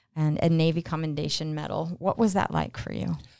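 Speaking at a moderate pace, a woman with a plain, everyday voice uses a fairly low pitch in a very clean recording with a silent background. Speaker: radio host. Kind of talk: interview. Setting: studio.

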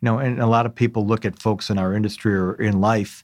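A man's fairly low, fairly quick delivery with fairly even intonation and an unremarkable speaking voice. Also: very clean recording, silent background. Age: 50s. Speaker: business executive, company founder. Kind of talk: interview. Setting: studio.

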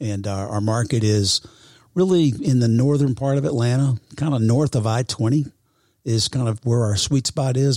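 A man speaks at a medium pitch and a fairly quick pace, with ordinary pitch variation and a somewhat breathy quality. The sound is dry and close, with no echo. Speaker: real estate professional. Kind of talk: casual interview. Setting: studio.

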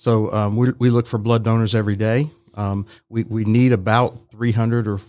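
A man with an American accent at medium pitch, monotone and flat, at a moderate pace on a very clean recording with a silent background. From Texas, Dallas area. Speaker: blood center representative. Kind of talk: radio interview. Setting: studio. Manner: halting.

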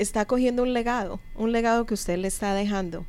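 A normal speaking voice is heard here. It moves at a moderate pace. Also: woman. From Colombia. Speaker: radio host and business coach. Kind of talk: interview. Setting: studio.

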